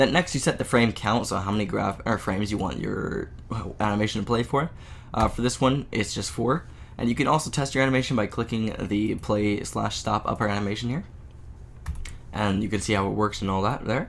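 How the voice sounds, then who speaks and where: Vocal fry runs through this man's speech. He talks at a fairly quick pace with ordinary pitch variation. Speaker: game development tutorial maker. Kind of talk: screen-recorded software tutorial. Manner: casual, many filler words.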